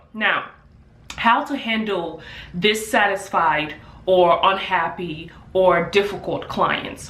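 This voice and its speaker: With an African accent, a woman speaks at a very slow pace with long, frequent pauses, amid audible room echo and noticeable background noise. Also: medium pitch for a woman, ordinary pitch variation. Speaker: hairstylist and beauty business owner. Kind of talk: vlog tutorial. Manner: casual with filler words.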